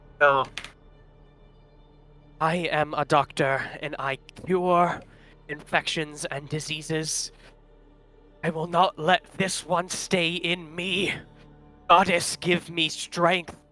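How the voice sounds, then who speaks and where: A man shouts in a put-on character voice, high-pitched, shaky and strained, with faint music in the background. His intonation is monotone and flat, at a very slow pace with long, frequent pauses. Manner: strained, half-yelling.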